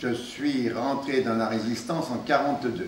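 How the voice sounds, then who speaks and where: Against noticeable background noise and audible room echo, a man of medium pitch talks fairly slowly with lively intonation. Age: 80s+. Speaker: former resistance fighter and deportee. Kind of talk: testimony to students. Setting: meeting room with school classes. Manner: halting, many hesitations.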